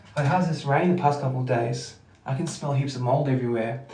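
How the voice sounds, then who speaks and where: A man with an Australian accent and a medium pitch speaks amid noticeable background noise and audible room echo. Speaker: livestreamer. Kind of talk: casual chat. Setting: at home. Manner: loud; trying to be quiet.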